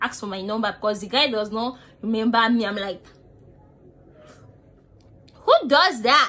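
With a bright, sharp tone, a woman speaks at a moderate pace in a fairly high pitch.

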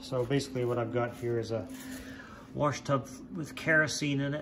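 Someone speaks at a moderate pace. Noticeable background noise runs underneath. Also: man. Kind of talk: casual work narration. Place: garage. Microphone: phone near.

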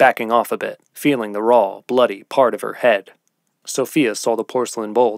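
Over a quiet background, the reading voice sounds natural.

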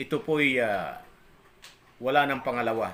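Taking a very slow pace, a man talks at a medium pitch. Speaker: religious vlogger. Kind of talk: religious talk. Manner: halting.

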